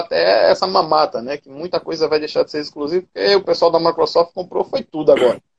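A man's voice at a moderate pace, with a dry, close sound and no echo. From Paraíba, Brazil (Cabedelo). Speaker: retro gaming content creator. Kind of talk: casual interview chat.

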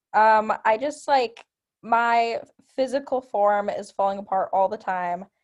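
A woman with an American accent speaks at a fairly slow pace in a fairly high pitch. She has an unremarkable speaking voice with ordinary pitch variation. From Milwaukee suburbs, Wisconsin. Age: young. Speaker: college radio host. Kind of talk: casual chat. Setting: studio.

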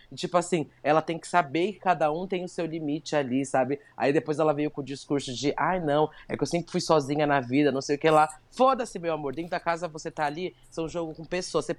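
This woman's voice has a very deep, low pitch and an animated tone. She speaks with hardly any pauses and ordinary pitch variation. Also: big swings in loudness. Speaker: podcast co-host. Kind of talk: casual chat.

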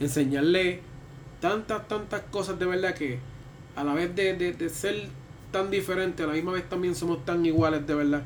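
Speaking in a Puerto Rican accent, a man uses a high pitch for a man, a moderate pace and ordinary pitch variation. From Puerto Rico. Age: 30s. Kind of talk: casual chat.

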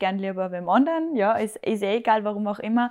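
A woman with a Salzburg accent speaks at medium pitch and a fairly quick pace. The background is quiet. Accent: Austrian German (Salzburg). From Austria, Salzburg. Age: 20s. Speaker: hairdresser and bridal stylist. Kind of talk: casual interview.

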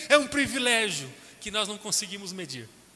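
A man with a Brazilian accent speaks in a raised, projected voice at a moderate pace, with ordinary pitch variation and noticeable background noise. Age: 30s. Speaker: pastor. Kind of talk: sermon.

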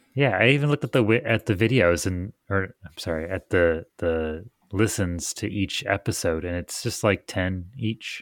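A man with an American accent speaks in a very deep, low pitch with hardly any pauses. The sound is dry and close, with no echo. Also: ordinary pitch variation, moderate pace, very clean recording, silent background. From Michigan. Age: 30s. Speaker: podcast co-host, woodworking maker. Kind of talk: casual chat.

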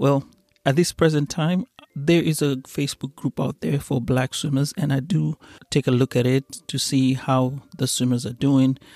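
With an East African accent, the speaker uses a dark, mellow tone and fairly even intonation at a moderate pace, recorded with a dry, close sound and no echo. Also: man, fairly high pitch for a man. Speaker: podcast host. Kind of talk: solo monologue podcast.

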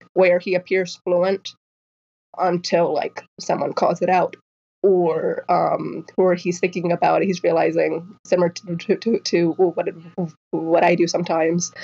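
A woman's fairly low voice, dark and mellow with a slightly husky edge and vocal fry, fairly slow and with little pitch movement

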